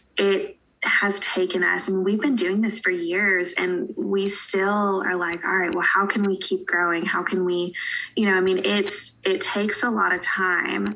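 Over noticeable background noise, a woman with an American accent speaks at a fairly slow pace with monotone, flat intonation and very even loudness. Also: medium pitch for a woman. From Western North Carolina (Asheville). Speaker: pharmacist. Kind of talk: casual interview.

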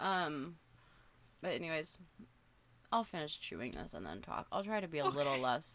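With a very deep, low pitch and vocal fry, a woman speaks in lively intonation, leaving long, frequent pauses. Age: 20s. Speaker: podcast co-host. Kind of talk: casual chat. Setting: remote recording.

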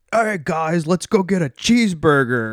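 A put-on character voice in an American accent runs at a moderate pace with lively intonation, recorded dry and close with no echo. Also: man, high pitch for a man. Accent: stereotypical American. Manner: exaggerated, jokey.

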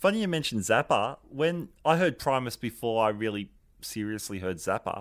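A man with an Australian accent speaks at a moderate pace, his medium-pitched voice moving with lively intonation. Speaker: podcast host. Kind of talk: casual chat.

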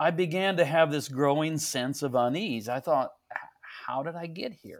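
Speaking with a Midwestern American accent, a man uses a fairly high pitch with ordinary pitch variation. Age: 60s. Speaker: pastor. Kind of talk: casual interview.

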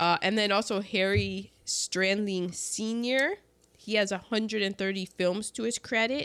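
A woman with an unremarkable speaking voice talks fairly slowly at a medium pitch with fairly even intonation, on a very clean recording with a silent background. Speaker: podcast host. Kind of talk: casual chat. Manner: chatty, jokey.

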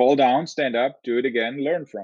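Against a quiet background, a man talks with a German accent. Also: dry, close sound with no echo. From southern Germany. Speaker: engineering professor. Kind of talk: interview.

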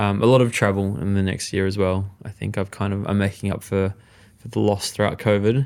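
A man with an Australian accent speaks at a fairly low pitch and a fairly quick pace. His intonation is flat and monotone, in a very clean recording with a silent background. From Western Australia (Perth), Mauritian Chinese family. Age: young. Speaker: chef and cookbook author. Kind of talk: casual interview chat.

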